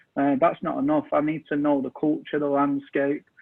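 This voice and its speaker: With a monotone, flat intonation, the words come at a moderate pace. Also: man. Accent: English. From England, Manchester. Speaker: soccer coach and technical director. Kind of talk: interview.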